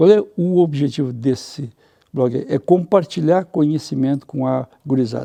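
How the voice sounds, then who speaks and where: A man's fairly high-pitched voice with a dark, mellow tone, at a fairly slow pace. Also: ordinary pitch variation. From southern Brazil, Rio Grande do Sul (Santa Cruz). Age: 60s. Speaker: journalist. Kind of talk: interview. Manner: animated, conversational.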